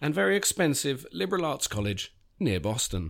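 A man with a London accent talks at a moderate pace, his pitch swinging very widely, with vocal fry. The recording is very clean, with a silent background. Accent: British English (London). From England (London). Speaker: writer and essayist. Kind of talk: reading aloud. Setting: studio. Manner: halting, many fillers in conversation.

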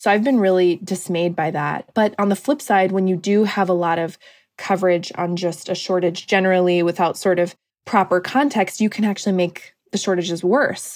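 In an American accent, a woman with an unremarkable speaking voice talks at a moderate pace and medium pitch with ordinary pitch variation, on a very clean recording with a silent background. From US Pacific Northwest, Washington State. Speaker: journalist. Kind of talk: interview.

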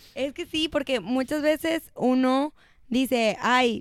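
In a very clean recording over a silent background, a woman talks in a high voice. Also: dry, close sound with no echo. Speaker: podcast co-host. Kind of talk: casual chat.

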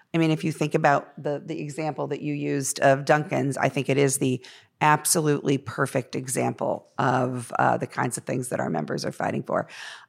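A woman's very deep, low pitch with vocal fry, fairly even intonation, a fairly quick pace and hardly any pauses. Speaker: union leader. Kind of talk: panel discussion. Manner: hesitant with fillers.

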